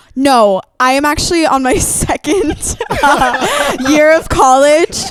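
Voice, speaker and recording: High-pitched woman's voice with an American accent, lively intonation, a very slow pace and very even loudness, amid noticeable background noise. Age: young. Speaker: musical theatre performer. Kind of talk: interview.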